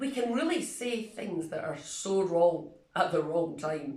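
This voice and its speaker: A woman with a Scottish accent speaks at a fairly slow pace and medium pitch, with audible room echo. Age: 60s. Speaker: retiring church minister. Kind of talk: video reflection.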